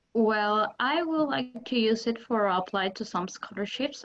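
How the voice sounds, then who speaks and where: Her accent is Spanish. This woman talks at a moderate speed. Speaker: language student. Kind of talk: class participation. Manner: halting.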